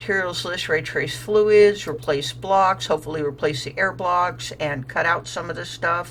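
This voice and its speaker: Moderate pace with hardly any pauses, ordinary pitch variation and noticeable background noise. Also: woman, fairly low pitch for a woman. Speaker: gaming YouTuber. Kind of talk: gameplay commentary. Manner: casual.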